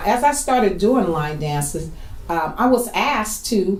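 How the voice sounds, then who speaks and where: Very wide pitch swings with audible room echo and noticeable background noise. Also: woman. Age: 60s. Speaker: line dance instructor and choreographer. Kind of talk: documentary interview.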